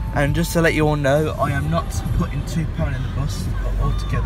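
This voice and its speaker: Loud music plays in the background as a man speaks. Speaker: vlogger. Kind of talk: casual vlog chat. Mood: excited, eager. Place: car. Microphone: phone near.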